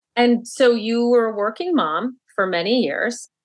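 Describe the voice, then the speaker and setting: In an ordinary speaking voice, a woman talks at a fairly slow pace with ordinary pitch variation. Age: 50s. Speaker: author. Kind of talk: interview.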